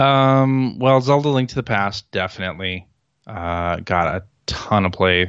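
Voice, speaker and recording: A man with an American accent speaks in an unremarkable speaking voice, fairly low in pitch, at a fairly slow pace with lively intonation. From Chicago, US Midwest. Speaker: video game podcaster and former magazine writer. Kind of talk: casual chat. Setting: remote call.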